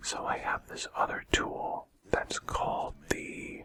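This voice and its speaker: A man whispers against noticeable background noise. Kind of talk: whispered gaming commentary. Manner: whispered, soft-spoken.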